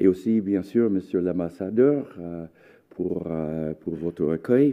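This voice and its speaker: At a very slow pace, a man with an American accent speaks in a very deep, low pitch. His intonation is lively, and his loudness swings widely. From United States. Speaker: history professor. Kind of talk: lecture. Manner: halting.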